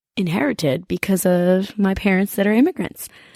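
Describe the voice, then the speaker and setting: In a Spanish accent, a woman speaks at a moderate pace and medium pitch with ordinary pitch variation and a dark, mellow tone. The very clean recording has a silent background and a dry, close sound with no echo. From Washington State, US. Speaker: podcast host and teacher. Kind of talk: podcast monologue. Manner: casual, with false starts.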